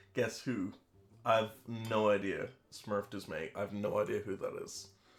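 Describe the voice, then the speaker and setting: With music behind him, the man talks rather slowly. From Ireland. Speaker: streamer. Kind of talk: casual chat. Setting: live stream. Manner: chatty.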